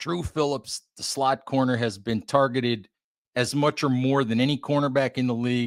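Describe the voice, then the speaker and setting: In a plain, everyday voice, a man speaks at a medium pitch and moderate pace with ordinary pitch variation. The recording is very clean with a silent background, and the sound is dry and close with no echo. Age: 60s. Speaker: football writer and site editor. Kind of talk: sports podcast interview. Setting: podcast.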